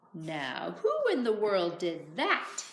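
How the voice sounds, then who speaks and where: A woman uses a put-on character voice. Her pitch sits fairly low. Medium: read story.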